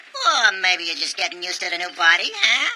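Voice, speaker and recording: A cartoonish character voice at middle pitch rattles along at a very fast pace. Background noise is clear. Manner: casual, teasing.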